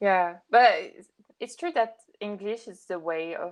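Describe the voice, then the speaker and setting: A woman with a French accent and a medium pitch. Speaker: podcast guest. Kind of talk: casual chat. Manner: halting.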